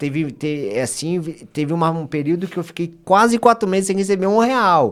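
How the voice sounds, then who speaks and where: The recording is very clean, with a silent background. A man with a high voice speaks at a moderate pace with lively intonation. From Brazil, Bragança Paulista (São Paulo state). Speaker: lawyer giving testimony on podcast. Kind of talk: testimony.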